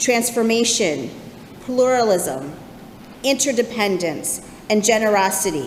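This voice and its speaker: Over noticeable background noise, a woman talks at a fairly slow pace, her fairly high pitch swinging very widely. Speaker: congregational life coordinator and ministerial intern. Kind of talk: church sermon.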